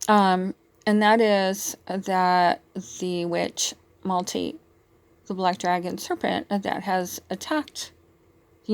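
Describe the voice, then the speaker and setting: In a very clean recording with a silent background, a woman speaks at medium pitch with fairly even intonation. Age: 60s. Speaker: spiritual vlogger. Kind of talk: monologue. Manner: halting, many fillers.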